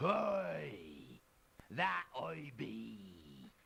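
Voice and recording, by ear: Very deep and low in pitch, a man puts on a character voice. The sound is raspy.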